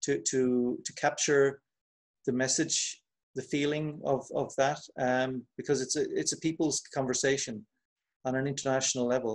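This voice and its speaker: Here a man talks in an Irish accent at a fairly high pitch. His moderate pace comes with monotone, flat intonation. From Ireland. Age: 50s. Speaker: poet and translator. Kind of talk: interview. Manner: halting, many repetitions.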